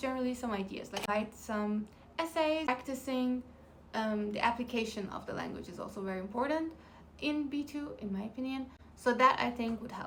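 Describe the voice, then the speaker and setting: The speech has ordinary pitch variation at a moderate pace. Audible room echo fills the recording. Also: woman. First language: Farsi. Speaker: language-learning vlogger. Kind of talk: casual vlog talk; reading out topic list in French. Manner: halting with fillers.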